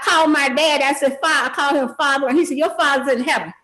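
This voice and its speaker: A woman's high, raised and projected voice moves at a fairly quick pace with audible room echo. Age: 70s. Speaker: party in a court case. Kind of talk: court testimony. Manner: animated, rambling with frequent fillers.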